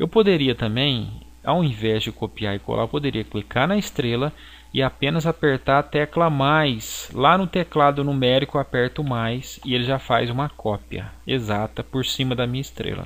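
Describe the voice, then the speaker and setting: At a medium pitch, a man talks at a moderate pace with ordinary pitch variation. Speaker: graphic design teacher. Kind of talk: software tutorial. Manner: halting.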